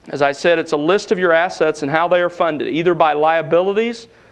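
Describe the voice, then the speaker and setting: A man's high-pitched voice with a Southern US accent and fairly even intonation. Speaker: seminary lecturer. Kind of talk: lecture.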